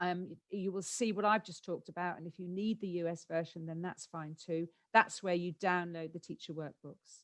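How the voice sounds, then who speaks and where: Her voice swings widely in loudness as a woman with a fairly low pitch speaks with a British accent. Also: fairly even intonation, hardly any pauses, dry, close sound with no echo. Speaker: education specialist giving a presentation. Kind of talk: conference webinar presentation. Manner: fast.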